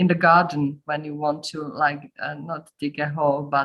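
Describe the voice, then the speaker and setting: The delivery is fairly slow. A non-native accent comes through. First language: not English. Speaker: meeting participant. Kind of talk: casual question in online meeting. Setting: video call. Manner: halting.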